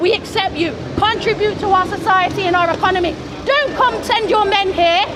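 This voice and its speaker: Amid noticeable background noise and audible room echo, a woman with an English accent speaks at an extremely high pitch and a fairly quick pace, with ordinary pitch variation and very even loudness. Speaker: street protester. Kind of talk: heated debate. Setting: outdoors, street crowd. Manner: animated.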